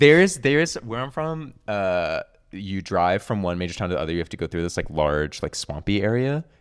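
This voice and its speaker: Fairly low-pitched man with an American accent, very wide pitch swings and a moderate pace. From southern New Jersey, near Cape May. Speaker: podcast host. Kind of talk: casual chat.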